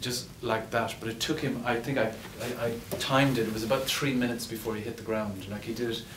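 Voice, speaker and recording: Speaking in a western Irish accent, a man at medium pitch delivers monotone, flat intonation amid noticeable background noise and audible room echo. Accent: Irish (west of Ireland). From west of Ireland, Ennis, County Clare. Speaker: screenwriter and actor. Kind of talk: post-screening Q&A. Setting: cinema stage with audience. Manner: halting, repeats words.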